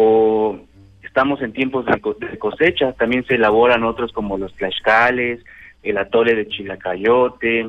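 At a medium pitch, a man talks fairly slowly with fairly even intonation. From Mexico, San Pedro Zacachimalpa, Puebla. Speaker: community culture graduate. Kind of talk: phone interview. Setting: phone call. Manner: halting, with many fillers.

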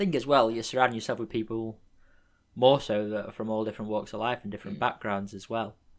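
Someone with an English accent speaks at a very fast pace on a very clean recording with a silent background. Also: man, medium pitch for a man. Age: 20s. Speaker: podcast host. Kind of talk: casual chat. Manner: animated.

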